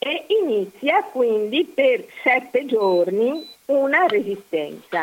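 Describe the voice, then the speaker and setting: Speaking very slowly, a woman uses a high voice whose pitch swings very widely. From Mestre, Veneto (Venice area). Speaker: historical researcher. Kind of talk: interview, historical narration. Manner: halting, many fillers.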